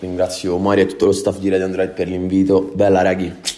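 A man talks very fast in a Roman accent, his pitch very deep and low. His tone is dark and mellow, and his intonation is monotone and flat. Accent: Roman Italian. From Rome, Italy. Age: 20s. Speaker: rapper. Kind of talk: radio interview.

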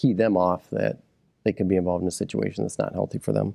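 A man's very deep, low voice with an American accent, a dark, mellow tone and vocal fry, very fast and with very wide pitch swings, in a dry, close sound with no echo. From Michigan, Midland County. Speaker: county sheriff. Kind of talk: interview.

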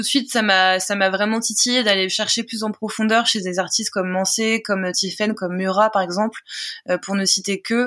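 In a very clean recording with a silent background, a woman speaks at medium pitch and a moderate pace, her intonation flat and monotone. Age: 30s. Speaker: singer-songwriter. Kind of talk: interview.

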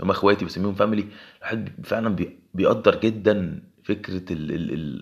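This man has an Egyptian accent and a fairly low pitch. He keeps a moderate pace with ordinary pitch variation. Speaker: podcaster. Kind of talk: solo podcast monologue.

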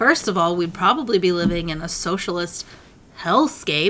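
A woman speaks with an American accent at a moderate pace. Background noise is noticeable. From Michigan, suburb of Detroit. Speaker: podcast co-host, guest. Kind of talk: casual chat.

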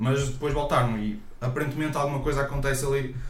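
This man's voice sits at a medium pitch. There is audible room echo along with noticeable background noise. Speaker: podcast co-host. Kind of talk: casual chat.

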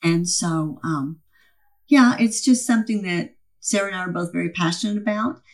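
She is a woman with a medium pitch and a somewhat breathy voice. Her intonation is lively and her pace moderate. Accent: American. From Texas, Dallas-Fort Worth area. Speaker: insurance agency owner. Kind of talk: interview.

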